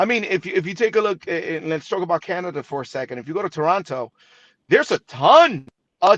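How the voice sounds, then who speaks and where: A man speaks in a high pitch with a slight Spanish accent. His pitch swings very widely and his loudness rises and falls sharply, in a dry, close sound with no echo. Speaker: TV broadcaster. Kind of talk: interview.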